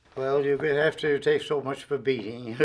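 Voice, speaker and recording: A man talks with a Newfoundland accent. His pitch is medium and his pace moderate. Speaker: retired railway worker. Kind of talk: interview testimony. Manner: halting.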